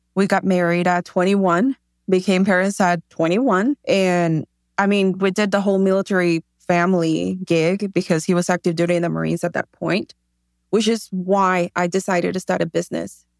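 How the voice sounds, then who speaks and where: A woman with a Spanish accent talks at a moderate pace and medium pitch, her loudness very even and her intonation fairly even. The sound is dry and close, with no echo. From Mexico, Tijuana. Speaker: shoe company founder. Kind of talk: interview.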